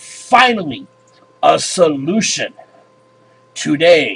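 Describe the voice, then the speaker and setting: A man puts on a character voice, pitched high and delivered at a very slow pace. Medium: read story. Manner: measured, authoritative.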